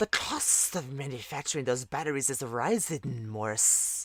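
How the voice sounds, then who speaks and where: Putting on a hissing character voice, a man speaks at a moderate pace at a medium pitch with lively intonation. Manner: hissing, snake voice.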